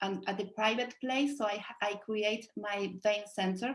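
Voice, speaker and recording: A woman's somewhat breathy voice moves along at a very slow pace. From Uruguay. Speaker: vein doctor. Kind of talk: panel discussion. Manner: halting.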